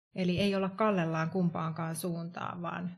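In a slight Tampere accent, a woman speaks at a fairly slow pace with a fairly low pitch and monotone, flat intonation. Her voice is somewhat breathy. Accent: little Tampere. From Tampere, Finland. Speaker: wellbeing coach and HR consultant. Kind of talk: casual chat.

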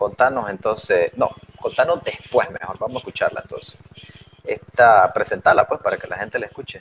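Big swings in loudness mark this man's voice. He talks fairly quickly. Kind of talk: casual chat.

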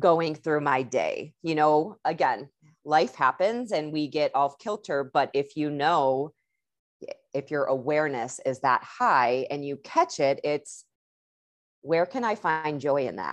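Someone with an American accent talks at a fairly slow pace against a quiet background. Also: woman, very deep, low pitch for a woman, lively intonation. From Chicago, US Midwest. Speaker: energy work and yoga coach. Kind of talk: podcast interview, personal story. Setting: remote call. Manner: animated.

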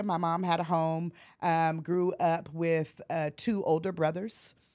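Captured on a very clean recording with a silent background, a woman with an American accent uses a normal speaking voice at a fairly slow pace. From US Pacific Northwest, Portland, Oregon. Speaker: college administrator. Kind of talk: interview.

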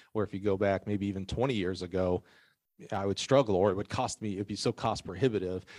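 At a very fast pace, a man speaks with a dry, close sound with no echo, on a very clean recording with a silent background. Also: fairly low pitch for a man, fairly even intonation. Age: 40s. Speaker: track and field sales manager and podcast host. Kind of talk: casual chat.

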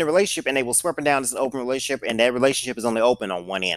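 A man with a medium-pitched voice, recorded very cleanly against a silent background. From US Midwest, St. Louis. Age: 30s. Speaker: podcast host. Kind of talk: solo storytelling podcast.

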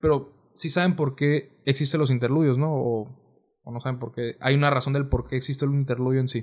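The voice is somewhat breathy, moving at a fairly quick pace with hardly any pauses and fairly even intonation. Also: man, medium pitch for a man. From Mexicali, Baja California, Mexico. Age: 20s. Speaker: musician. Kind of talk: casual chat.

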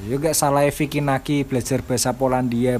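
An ordinary speaking voice from a man, medium in pitch, fairly quick, with fairly even intonation. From Java. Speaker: podcast co-host. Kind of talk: casual chat.

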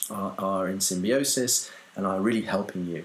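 A man with a London accent and a fairly low pitch. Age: 40s. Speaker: dance movement teacher. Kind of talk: casual interview. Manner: halting, many repetitions.

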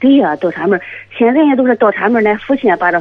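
Her intonation lively, a woman is speaking. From Shandong, Tai'an. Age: 40s. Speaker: caller. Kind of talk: phone-in call. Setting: phone call. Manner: halting.

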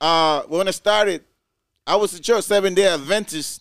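High male voice at a moderate pace with ordinary pitch variation, on a very clean recording with a silent background. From Honduras. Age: 30s. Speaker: DJ and co-host. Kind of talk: casual chat.

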